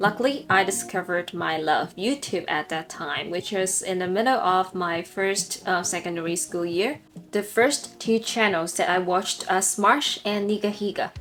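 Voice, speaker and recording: Noticeable background noise sits behind a woman's medium-pitched voice. She talks at a moderate pace with hardly any pauses. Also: ordinary pitch variation. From Hong Kong. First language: Cantonese. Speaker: English teacher. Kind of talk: personal story.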